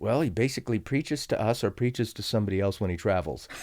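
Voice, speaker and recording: Against a silent background on a very clean recording, a man with an American accent speaks at a very fast pace. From central California, Fresno County. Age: 60s. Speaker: pastor. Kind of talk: casual chat.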